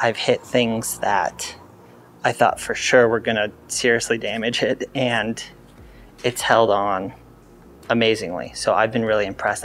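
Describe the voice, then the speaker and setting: A man speaks at a fairly slow pace over light background noise. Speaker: scooter reviewer. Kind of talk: casual vlog chat. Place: garage. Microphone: lapel.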